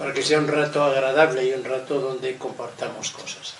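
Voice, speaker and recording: A man's medium-pitched, monotone, flat delivery amid noticeable background noise and audible room echo. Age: 80s+. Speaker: lecturer on loneliness and ageing. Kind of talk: lecture.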